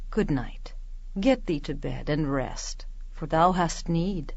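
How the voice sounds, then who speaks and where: The pace runs fairly slow. A put-on character voice delivers the lines. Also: woman. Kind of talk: Shakespearean verse drama. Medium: audio drama.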